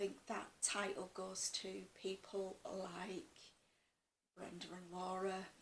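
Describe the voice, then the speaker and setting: A woman of medium pitch with a Yorkshire accent, in audible room echo. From West Yorkshire, northern England. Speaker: cross-stitch vlogger. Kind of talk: casual chat.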